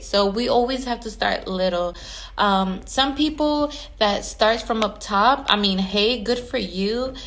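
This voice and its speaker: Amid audible room echo, a woman speaks at a fairly slow pace in an animated tone, her fairly high pitch showing ordinary variation. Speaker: event planner and decorator. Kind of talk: casual vlog monologue.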